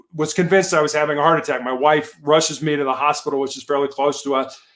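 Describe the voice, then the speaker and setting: This man has an American accent. He speaks at a very fast pace. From Chicago, US Midwest. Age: 60s. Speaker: cancer survivor and motivational speaker. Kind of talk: interview testimony. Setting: live video show.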